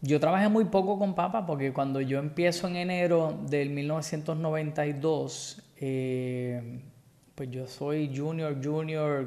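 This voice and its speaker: A man with a fairly high pitch and fairly even intonation at a very slow pace, with audible room echo. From Puerto Rico, Guaynabo. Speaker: dive business owner. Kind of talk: casual interview.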